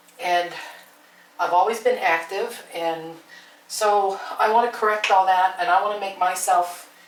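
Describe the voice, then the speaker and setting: Noticeable background noise and audible room echo surround a woman with a fairly low pitch and fairly even intonation. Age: 60s. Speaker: homesteading vlogger. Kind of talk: casual vlog talk to camera. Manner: halting, with many fillers.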